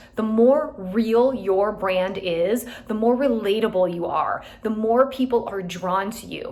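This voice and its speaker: Fairly high-pitched woman's voice at a fairly slow pace, ordinary pitch variation, noticeable background noise. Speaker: real estate team leader. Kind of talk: motivational talk to team.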